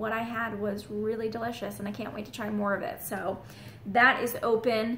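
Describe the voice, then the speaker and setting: A woman's fairly high voice, with audible room echo. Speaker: real estate agent. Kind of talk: vlog.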